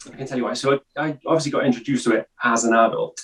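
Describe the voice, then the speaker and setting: A man with a Welsh accent speaks with ordinary pitch variation, in a dry, close sound with no echo. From Wales. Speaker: podcast guest. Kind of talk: casual chat. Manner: halting.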